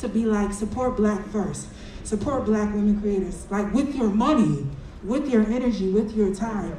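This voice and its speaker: A woman with a fairly high pitch and ordinary pitch variation is heard through audible room echo and noticeable background noise. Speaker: audience member asking question. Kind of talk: audience question.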